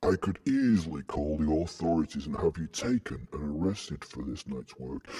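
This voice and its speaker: A man puts on a character voice at a very deep, low pitch. His tone is menacing and theatrical. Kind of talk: horror villain theatrics. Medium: read story. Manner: menacing, theatrical.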